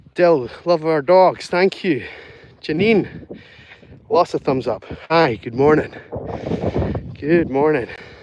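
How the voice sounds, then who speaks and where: Against noticeable background noise, a man speaks very slowly at a fairly high pitch with lively intonation. His pauses are long and frequent. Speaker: dog walker live streamer. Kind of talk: live stream chat while walking dogs. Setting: outdoors.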